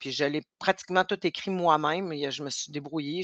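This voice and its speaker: A woman speaks at a very deep, low pitch with fairly even intonation. The sound is dry and close with no echo, over a quiet background. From Quebec North Shore, Innu community near Sept-Îles. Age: 50s. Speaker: entrepreneur, business owner. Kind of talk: interview.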